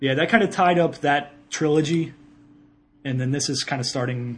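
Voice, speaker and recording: A man with a strong Ohio accent, somewhat breathy, at a fairly quick pace. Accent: thick Ohio. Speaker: podcast co-host, video game talk. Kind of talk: casual banter.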